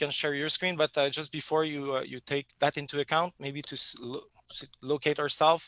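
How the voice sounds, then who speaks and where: A man with a Quebec accent speaks at a moderate pace in a fairly high voice, his tone bright and sharp. His delivery is monotone and flat, and the sound is dry and close with no echo. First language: French. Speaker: software company presenter. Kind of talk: webinar presentation. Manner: halting.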